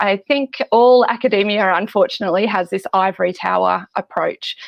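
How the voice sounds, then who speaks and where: This woman has an Australian accent. Her pace is fairly quick. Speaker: biblical scholar and lecturer. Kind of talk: interview.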